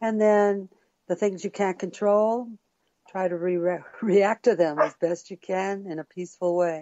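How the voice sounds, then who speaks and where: At a fairly slow pace, a woman with a medium pitch talks in an unremarkable speaking voice, her intonation fairly even. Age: middle-aged. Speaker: music producer and actress. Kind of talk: interview answer.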